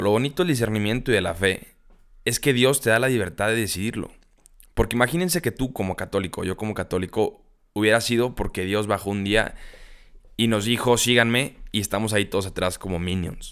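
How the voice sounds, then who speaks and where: Speaking fairly quickly, a man uses a normal speaking voice. His pitch sits at a medium level and varies in an ordinary way. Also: very clean recording, silent background. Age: young. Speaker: podcast host. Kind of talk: casual chat.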